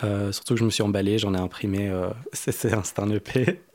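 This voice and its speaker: This man talks at a fairly slow pace in a fairly low pitch. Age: 20s. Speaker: musician and music producer. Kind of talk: interview. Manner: halting.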